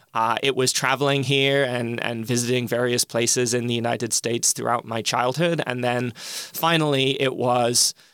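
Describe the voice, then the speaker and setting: In an American accent, the speaker talks at a moderate pace with monotone, flat intonation and hardly any pauses. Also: man, medium pitch for a man. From England. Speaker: political science professor. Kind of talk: interview answers.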